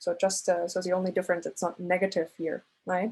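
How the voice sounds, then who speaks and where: Somewhat breathy at medium pitch, a woman speaks with a non-native accent. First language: not English. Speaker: statistics lecturer. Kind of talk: lecture. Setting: recorded class. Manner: halting, many fillers.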